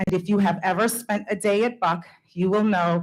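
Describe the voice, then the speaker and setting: Using a normal speaking voice, a woman talks with ordinary pitch variation at a moderate pace. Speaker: school principal. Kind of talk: award speech. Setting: school board meeting.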